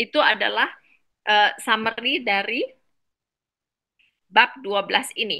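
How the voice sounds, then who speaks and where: Her tone is bright and sharp as the woman speaks with a non-native accent. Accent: non-native Indonesian. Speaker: medical doctor presenting a book summary. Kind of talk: online reading class presentation. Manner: halting, many fillers.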